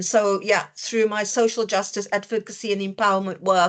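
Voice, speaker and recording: With a South African accent, a woman speaks at a moderate pace and a fairly high pitch. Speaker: dietitian educator. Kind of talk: online lecture. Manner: hesitant, many fillers.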